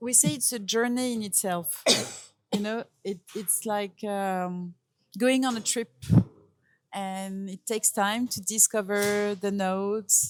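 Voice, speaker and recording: A woman's medium-pitched voice in a French accent, very slow in pace, with fairly even intonation. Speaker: perfumer. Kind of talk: interview. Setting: perfume fair in Paris. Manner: halting.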